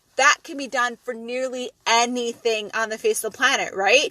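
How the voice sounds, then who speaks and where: A woman's high, bright, sharp voice with an animated tone. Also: dry, close sound with no echo. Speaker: podcast host; MLM business coach. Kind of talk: solo podcast monologue.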